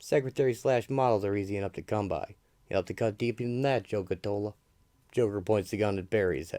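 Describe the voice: The words are given as plain reading aloud. Each line is read out just as written.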